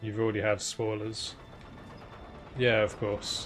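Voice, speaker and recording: Over music in the background, a man with an English accent speaks very slowly in a fairly low pitch. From England. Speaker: video game streamer. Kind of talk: casual chat while gaming. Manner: relaxed, halting with fillers.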